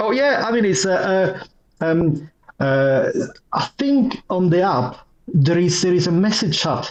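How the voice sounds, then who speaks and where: Speaking at a fairly slow pace, a man uses a high pitch with lively intonation. His loudness stays very even. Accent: Italian. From Italy. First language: Italian. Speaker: IT manager and user group vice chair. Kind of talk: podcast interview. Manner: halting, many repetitions and fillers.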